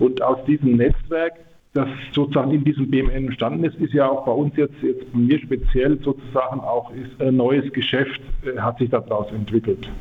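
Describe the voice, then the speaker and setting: A man with an ordinary speaking voice talks at a moderate pace with fairly even intonation. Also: medium pitch for a man. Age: 50s. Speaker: production engineer. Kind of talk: radio interview.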